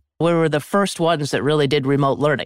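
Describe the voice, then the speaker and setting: A woman's very deep, low voice with an American accent and ordinary pitch variation, in a very clean, silent recording with a dry, close sound and no echo. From Vermont, US. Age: 50s. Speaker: former ski racer and business executive. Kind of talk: interview conversation.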